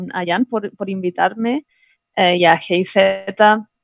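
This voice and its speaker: A woman speaks at a very slow pace. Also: dry, close sound with no echo. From Canary Islands, Spain. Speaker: engineer, presenter. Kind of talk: webinar presentation. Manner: halting.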